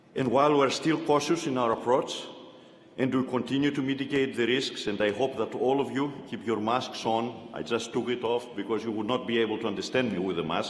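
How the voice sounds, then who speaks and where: With a non-native accent, a man speaks at a fairly quick pace and medium pitch with ordinary pitch variation, and audible room echo. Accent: foreign. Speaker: university chancellor. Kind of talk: commencement speech. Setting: arena with audience.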